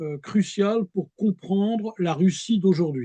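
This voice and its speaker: Dry and close with no echo, a high-pitched man with a dark, mellow tone speaks very slowly. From France. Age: 70s. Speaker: historian. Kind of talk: interview. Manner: halting.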